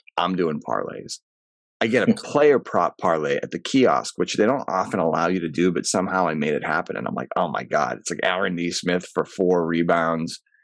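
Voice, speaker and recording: With lively intonation and vocal fry, a man speaks at a moderate pace in a very deep, low pitch against a quiet background. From New England. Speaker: actor. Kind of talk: casual chat. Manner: animated.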